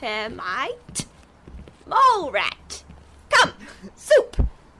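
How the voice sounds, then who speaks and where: Using a put-on character voice, a woman speaks at an extremely high pitch with very wide pitch swings. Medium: audio drama. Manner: fragmented, singsong, rambling.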